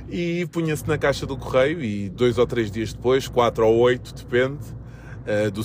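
A man speaks at a moderate pace with a European Portuguese accent. His pitch is medium. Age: 40s. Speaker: podcast host and handball coach. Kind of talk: casual solo monologue. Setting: recording while travelling to a game. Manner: hesitant, many fillers.

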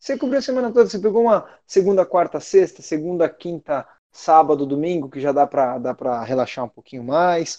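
Dark and mellow in tone yet high-pitched, a man talks fairly quickly with hardly any pauses, very wide pitch swings and big swings in loudness, in a dry, close sound with no echo. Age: 30s. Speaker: amateur marathon runner and race pacer. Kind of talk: casual chat.

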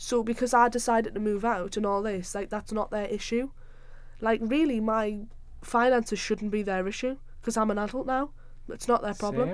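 In a Sunderland accent, a woman with a fairly high pitch talks at a fairly quick pace with fairly even intonation. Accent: Sunderland (Mackem) Northeast English. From South Shields, now Sunderland, Northeast England. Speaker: podcast host, university student.

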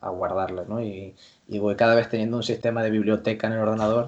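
Against a quiet background, a man with an ordinary speaking voice talks at a fairly quick pace and medium pitch. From Canary Islands, La Palma. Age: young. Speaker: sports science lecturer and basketball coach. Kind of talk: interview.

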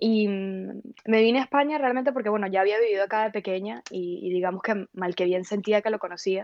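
Fairly quick and with ordinary pitch variation, a woman speaks at medium pitch. It is an unremarkable speaking voice. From Venezuela, Valencia. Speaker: philosopher. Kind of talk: interview.

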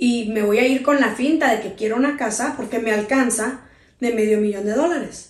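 A woman at a fairly high pitch, moderate pace and ordinary pitch variation, with audible room echo. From Sinaloa, Mexico (raised), teen years in Tijuana. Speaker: radio host and producer. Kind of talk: interview.

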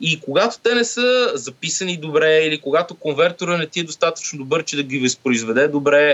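Moderately paced male speech, fairly high-pitched, in an unremarkable speaking voice with lively intonation. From Bulgaria. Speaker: sound engineer and lecturer. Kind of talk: casual interview.

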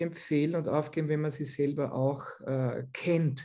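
A man with an Austrian accent speaks in a dark, mellow tone. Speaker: physiotherapist. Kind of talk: interview.

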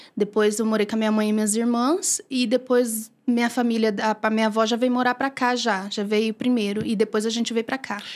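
A woman at a fairly high pitch and fairly quick pace, with monotone, flat intonation, in a very clean recording with a silent background. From Maranhão, northeastern Brazil. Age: 30s. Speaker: church deaconess. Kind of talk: testimony in interview.

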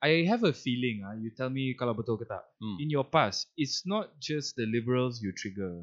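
A man at a medium pitch, fairly slow, with lively intonation. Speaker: podcast host. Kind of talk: casual chat.

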